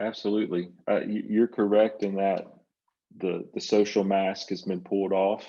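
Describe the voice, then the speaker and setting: A man's fairly low, dark and mellow voice in a Southern US accent, monotone and flat, at a moderate pace. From US South. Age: 60s. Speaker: psychotherapist and writer. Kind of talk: interview conversation.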